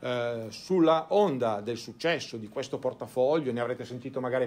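A man speaks in a plain, everyday voice, keeping a medium pitch, a moderate pace and ordinary pitch variation. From Italy, Turin. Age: 50s. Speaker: financial advisor. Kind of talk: conference talk. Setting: stage with audience.

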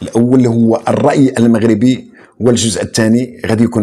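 A man's voice at medium pitch and a moderate pace. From Morocco. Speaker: online show host; channel host. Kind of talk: political commentary. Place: home room.

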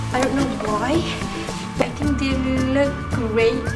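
Loud music plays in the background as a woman speaks. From Malaysia. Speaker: fashion youtuber. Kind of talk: casual talk to camera. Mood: cheerful, a little unsure. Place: home room. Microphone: phone near.

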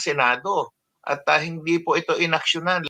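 A man's bright, sharp tone with ordinary pitch variation at a moderate pace. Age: old. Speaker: senior citizens' advocate. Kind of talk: interview. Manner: halting, many fillers.

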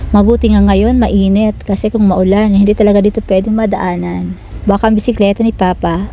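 Talking at a moderate pace and medium pitch, a woman is heard over noticeable background noise. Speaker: vlogger. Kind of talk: vlog narration. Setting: outdoors.

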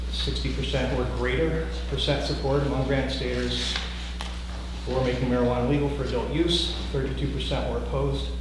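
Very deep and low, a man's monotone, flat voice moves at a moderate pace amid strong room echo and noticeable background noise. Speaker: drug policy advocate. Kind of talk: legislative testimony. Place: meeting room. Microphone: camera far.

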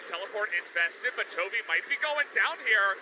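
With an excited tone and lively intonation, a man speaks over noticeable background noise. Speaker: esports caster. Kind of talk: live esports commentary. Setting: broadcast. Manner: fast, excited play-by-play; clipped, breathless reactions.

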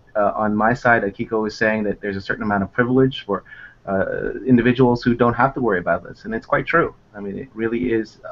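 Using fairly even intonation, a man with an American accent talks at a very fast pace. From United States. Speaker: immigration lawyer. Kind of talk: interview. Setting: video call. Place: office. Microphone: earbuds.

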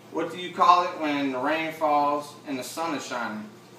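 Amid audible room echo and light background noise, a man with a fairly high pitch speaks at a moderate pace with ordinary pitch variation. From Chalmette, Louisiana, near New Orleans. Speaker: vlogger. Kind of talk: accent tag word list and casual answers. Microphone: camera far.

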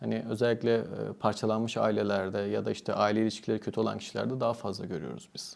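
Fairly low in pitch with vocal fry, a man talks at a very fast pace with fairly even intonation. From Turkey, Antalya. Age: 30s. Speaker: psychiatrist. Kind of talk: interview.

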